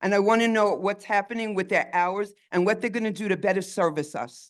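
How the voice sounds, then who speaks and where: This is a normal speaking voice at a fairly quick pace. The background is quiet. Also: woman, medium pitch for a woman, fairly even intonation. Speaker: resident speaking at community meeting. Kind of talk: public comment at meeting.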